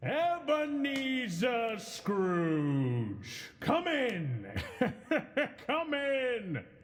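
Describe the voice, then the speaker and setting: A put-on character voice speaks at a very slow pace. Echo is audible in the sound. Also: man, extremely high pitch for a man. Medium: audio drama. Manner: hearty, genial.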